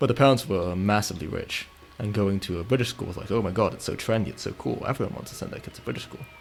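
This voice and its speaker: A man's fairly low voice at a very fast pace, with lively intonation, big swings in loudness and noticeable background noise. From Italy. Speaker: video game streamer. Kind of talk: casual chat while live-streaming gameplay. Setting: live stream.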